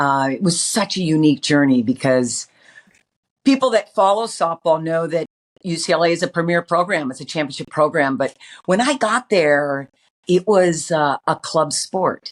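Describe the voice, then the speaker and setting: In a very clean recording with a silent background, a woman with an American accent talks at a moderate pace and fairly low pitch with lively intonation. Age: 60s. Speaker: former softball coach and player. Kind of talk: interview. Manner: animated.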